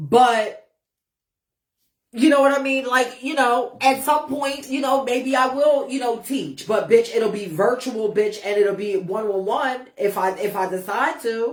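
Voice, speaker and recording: Animated in tone, a woman with a high voice and ordinary pitch variation speaks at a fairly slow pace. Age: 40s. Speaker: ballroom icon and livestream host. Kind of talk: casual livestream chat.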